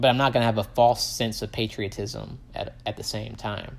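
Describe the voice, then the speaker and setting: Vocal fry runs through a man's medium-pitched voice, which has fairly even intonation. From US South, Tupelo, Mississippi. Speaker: podcaster. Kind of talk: personal monologue. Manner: rambling, many fillers.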